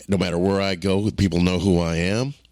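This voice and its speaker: This man has a very deep, low voice and an animated tone, speaking at a moderate pace. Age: 60s. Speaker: podcast host, author and actor. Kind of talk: solo podcast monologue.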